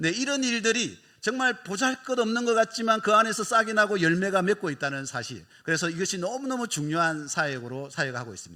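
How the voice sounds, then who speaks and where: In a very clean recording with a silent background, a raised, projected voice with a bright, sharp tone moves at a fairly quick pace with hardly any pauses and very wide pitch swings. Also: man, high pitch for a man. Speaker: missionary. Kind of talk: mission report in church service. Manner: fast.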